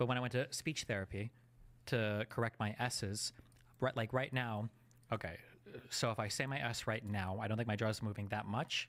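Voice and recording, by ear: With a fairly bright tone and fairly even intonation, a man talks at a moderate pace in a fairly low voice.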